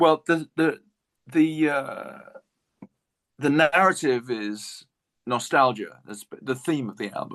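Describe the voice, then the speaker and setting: With an English accent, a man speaks very slowly using lively intonation. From England. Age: 60s. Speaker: jazz guitarist. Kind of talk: interview.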